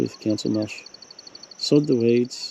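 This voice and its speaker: Over noticeable background noise, a man with an Australian accent speaks at a fairly slow pace and a medium pitch. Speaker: wildlife vlogger. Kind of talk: casual narration to camera. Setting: outdoors.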